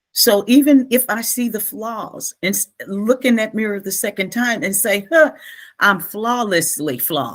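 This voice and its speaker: A woman talks at a fairly slow pace in a fairly high voice with lively intonation. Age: 60s. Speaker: author, coach and speaker. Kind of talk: interview conversation. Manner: animated.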